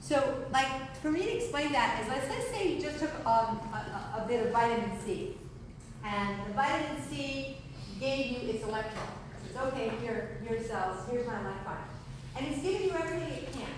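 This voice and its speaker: At a moderate pace, a woman with a high pitch talks amid noticeable background noise and strong room echo. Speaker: presenter. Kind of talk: lecture. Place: hall. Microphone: camera far.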